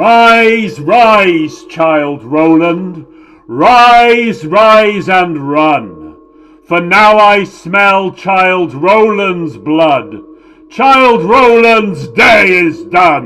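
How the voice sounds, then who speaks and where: Raising and projecting a put-on character voice, a man speaks at a very slow pace with a high pitch. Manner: menacing.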